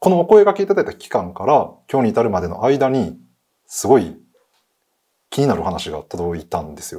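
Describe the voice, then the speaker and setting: A man speaks at a medium pitch in a dark, mellow tone with vocal fry. His pitch swings very widely over a quiet background. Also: moderate pace, big swings in loudness. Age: 30s. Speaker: guest. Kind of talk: storytelling. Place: studio.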